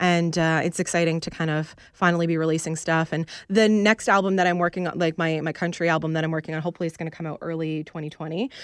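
Talking at a very fast pace with hardly any pauses, a woman uses a fairly low pitch and a monotone, flat intonation on a very clean recording with a silent background. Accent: Canadian. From Canada, Peterborough, Ontario. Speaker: country singer. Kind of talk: radio interview.

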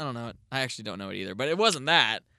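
Raised and projected, a man's voice swings very widely in pitch with an energetic, bright, sharp tone. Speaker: podcast host. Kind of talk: casual chat.

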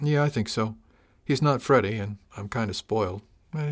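Text read plainly aloud

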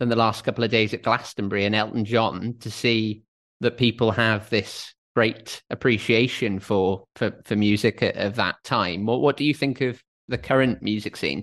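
A man with a Welsh accent talks at a moderate pace against a quiet background. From Wales. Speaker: podcast host. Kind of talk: interview.

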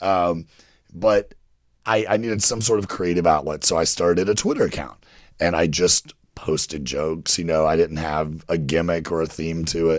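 A man speaks at a moderate pace with a very deep, low pitch. The recording is very clean, with a silent background. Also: ordinary pitch variation. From Kentucky. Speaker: writer and producer. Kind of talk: casual chat.

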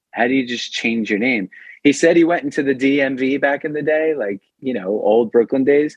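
In a New York accent, a man speaks with a medium pitch. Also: ordinary pitch variation, moderate pace. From New York, Long Island. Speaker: punk rock vocalist. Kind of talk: casual interview. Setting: at home kitchen, remote call.

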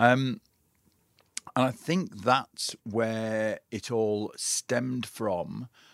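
At a very slow pace, a man speaks in a medium pitch with ordinary pitch variation, in a dry, close sound with no echo. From northern England, Carlisle, Cumbria. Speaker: adventure fitness trainer. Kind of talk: interview.

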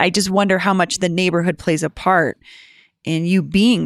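In a very clean recording with a silent background, a woman speaks at a moderate pace in an ordinary speaking voice with a fairly low pitch. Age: 40s. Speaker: podcast host. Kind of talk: interview.

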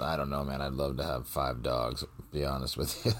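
A man with a very deep, low pitch speaks with vocal fry and monotone, flat intonation. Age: 30s. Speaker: podcast co-host. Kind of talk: casual chat.

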